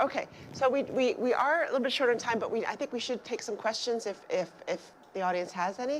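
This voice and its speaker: A woman talks at a very fast pace with lively intonation and a high pitch. Noticeable background noise sits behind her. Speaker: event moderator. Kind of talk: Q&A moderation. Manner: halting, many restarts.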